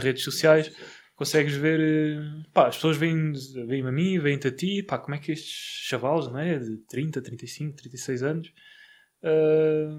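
The man has an ordinary speaking voice with a fairly high pitch and fairly even intonation, at a fairly slow pace. The recording is very clean, with a silent background. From Portugal, Barreiro. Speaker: podcast host, real estate investor. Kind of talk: casual interview. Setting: studio.

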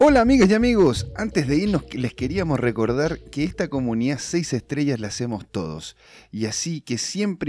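A man talks at a moderate pace and medium pitch, his tone dark and mellow with very wide pitch swings. The recording is very clean and dry, close with no echo and a silent background. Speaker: podcast host. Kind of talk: podcast outro.

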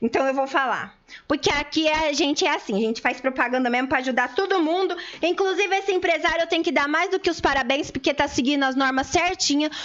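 A woman speaks very fast in a high, animated voice, with ordinary pitch variation and very even loudness. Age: 40s. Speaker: community radio co-host. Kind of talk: casual radio talk show.

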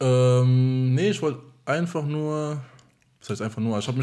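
With fairly even intonation, a man delivers his words at a fairly quick pace. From Germany. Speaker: marketing employee and DJ. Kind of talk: casual chat.

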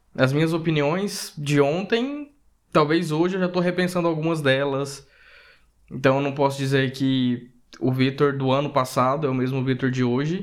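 A man speaks at a fairly high pitch with ordinary pitch variation. He has a normal speaking voice. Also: moderate pace. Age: 30s. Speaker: podcast co-host. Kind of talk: casual chat.

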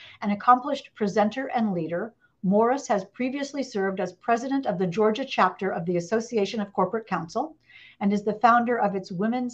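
Speaking with an American accent, a woman uses a normal speaking voice at a fairly quick pace, her medium pitch showing ordinary variation. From Indiana, US Midwest. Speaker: author interviewer. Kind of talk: live interview. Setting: live online broadcast, video call.

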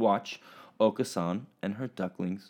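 There's an animated tone to this man's speech. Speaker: teacher. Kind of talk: children's story reading; remote lesson for children. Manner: slightly halting, stumbling over words.

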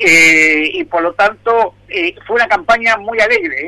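A man speaks in a raised, projected voice with lively intonation. Noticeable noise fills the background. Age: 60s. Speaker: public pension agency head. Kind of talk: radio interview. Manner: halting, many fillers.

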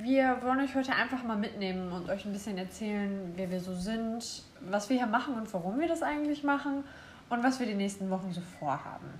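Lively intonation from a woman, fairly high-pitched and fairly quick, with noticeable background noise and audible room echo. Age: 20s. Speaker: podcast co-host, interior design student. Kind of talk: casual chat.

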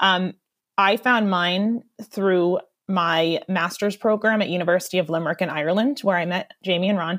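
A woman's medium-pitched voice, with fairly even intonation, comes through on a very clean recording over a silent background. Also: moderate pace. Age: 30s. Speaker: international educator and model. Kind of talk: casual interview. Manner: hesitant, many fillers.

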